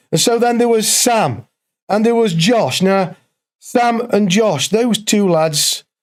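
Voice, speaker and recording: A man with an East Midlands accent at a very slow pace, very even loudness, and ordinary pitch variation. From English East Midlands, Derbyshire/Nottinghamshire border. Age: 60s. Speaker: former prisoner telling his story. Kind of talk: interview testimony. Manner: animated.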